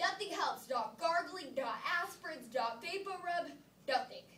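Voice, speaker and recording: Putting on a character voice, a woman speaks at a moderate pace in an extremely high, whiny pitch. Her tone is whiny, and her pitch swings very widely. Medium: read story.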